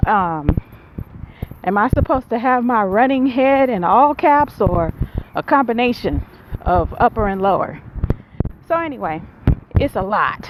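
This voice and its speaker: Against noticeable background noise, a woman with a fairly high pitch and lively intonation talks at a fairly slow pace with long, frequent pauses. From Buffalo, New York. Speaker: vlogger and graduate student. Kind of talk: casual vlog talk. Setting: outdoors, walking in neighborhood. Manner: loud.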